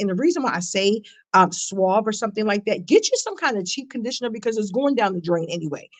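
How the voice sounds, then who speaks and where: Speaking at a very fast pace, a woman uses a medium-pitched voice. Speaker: trichologist hosting hair care show. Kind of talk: casual educational chat.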